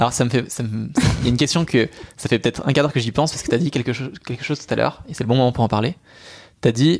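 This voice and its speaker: Music plays in the background as a man talks at a very fast pace. His pitch is medium, with ordinary variation. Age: 20s. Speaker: podcast host. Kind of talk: interview.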